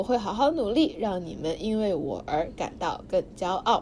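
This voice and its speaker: A woman talks at a moderate pace with a fairly high pitch. Her pitch swings very widely. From Suzhou. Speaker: student podcast host. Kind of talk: reading aloud diary; casual chat. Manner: energetic.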